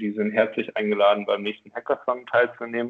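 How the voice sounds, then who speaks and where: A man with a medium pitch. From northern Germany, Oldenburg. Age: 20s. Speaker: education nonprofit director. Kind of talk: podcast interview. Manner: hesitant with many fillers.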